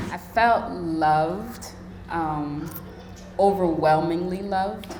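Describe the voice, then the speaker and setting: Over music in the background and with audible room echo, a woman with a fairly low voice speaks at a very slow pace. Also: ordinary pitch variation. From Liberia, then raised in US from childhood. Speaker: artist and community builder, mother. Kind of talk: live panel conversation, audience Q&A. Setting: live event with audience. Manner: casual, halting with frequent fillers.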